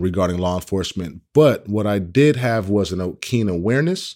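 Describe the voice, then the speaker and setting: An ordinary speaking voice from a man with an American accent, lively intonation and a moderate pace, on a very clean recording with a silent background. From Oakland, California (East Oakland). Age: 30s. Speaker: workshop leader on police-community trust. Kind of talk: interview testimony.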